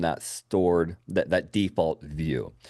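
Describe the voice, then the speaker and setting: Fairly slow speech from a man, set against a quiet background. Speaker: software trainer. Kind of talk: software training webinar. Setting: video call. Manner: animated.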